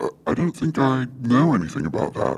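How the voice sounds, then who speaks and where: This man uses a put-on character voice at a medium pitch. He talks at a fairly quick pace. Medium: audio drama. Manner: hesitant, folksy, with filler sounds.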